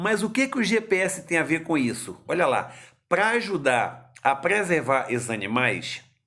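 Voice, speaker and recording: Talking at a fairly slow pace, a man uses a fairly high pitch with very wide pitch swings. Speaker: grandfather teaching science to grandson. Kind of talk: home video lesson for a child. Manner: slow, explanatory.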